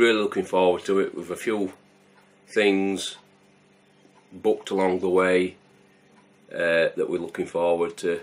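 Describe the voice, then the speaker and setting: Mumbling in a Yorkshire accent, a man speaks at a fairly slow pace with long, frequent pauses. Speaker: homebrewing video host. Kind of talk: casual vlog chat.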